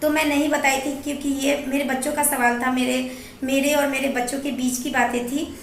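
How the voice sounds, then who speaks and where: Over noticeable background noise, a woman with a high-pitched voice talks in a monotone, flat delivery. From Bihar, India. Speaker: vlogger. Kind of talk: casual talk to camera.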